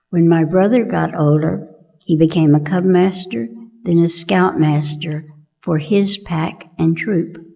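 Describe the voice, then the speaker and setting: Against audible room echo, a woman in an American accent speaks at a fairly slow pace with a fairly low pitch, a dark, mellow tone and fairly even intonation. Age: 80s+. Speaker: church member. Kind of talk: personal testimony read aloud. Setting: church.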